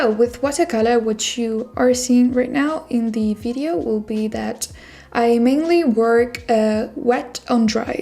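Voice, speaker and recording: A woman's fairly high voice with a non-native accent, at a fairly slow pace and with ordinary pitch variation. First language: not English. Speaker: artist. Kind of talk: tutorial. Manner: relaxed, with filler words.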